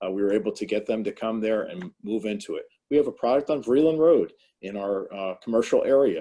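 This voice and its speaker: A man with a New Jersey accent at a fairly quick pace, against a quiet background. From New Jersey, Morris County. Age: 60s. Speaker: town mayor. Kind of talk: panel discussion. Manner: halting, many fillers.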